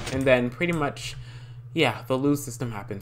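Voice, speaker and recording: The man's tone is animated. He speaks at a very fast pace. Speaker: Minecraft YouTuber. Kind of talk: tutorial. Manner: stuttering.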